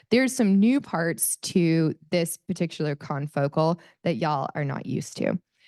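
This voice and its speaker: Her intonation is lively, and her pitch is very deep and low for a woman. The sound is dry and close with no echo, set against a quiet background. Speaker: microscopy facility staff presenter. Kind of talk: presentation to audience. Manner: fast; animated.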